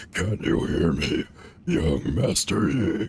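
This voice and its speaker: Over light background noise, a man puts on a character voice that is gruff and growling, very deep and low in pitch, and very slow. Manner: grand, dramatic, theatrical.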